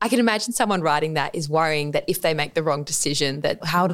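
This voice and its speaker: Someone with an Australian accent speaks at a very fast pace with ordinary pitch variation. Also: woman. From Australia, Adelaide. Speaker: dietitian. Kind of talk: casual interview.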